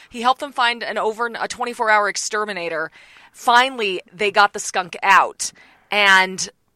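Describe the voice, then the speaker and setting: A normal speaking voice comes at a fairly slow pace with fairly even intonation, in a dry, close sound with no echo. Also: woman. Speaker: TV reporter. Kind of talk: casual chat.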